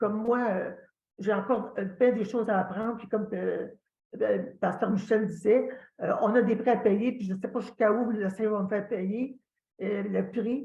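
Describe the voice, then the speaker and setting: A woman with a strong Quebec accent speaks at a moderate pace in a fairly high pitch. Her intonation is monotone and flat, her tone dark and mellow, and somewhat breathy. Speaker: church member sharing testimony. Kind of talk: testimony. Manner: halting, many hesitations.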